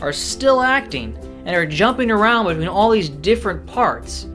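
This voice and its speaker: Music plays behind a man. He talks at a moderate pace. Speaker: aspiring actor, vlogger. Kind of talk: casual talk to camera.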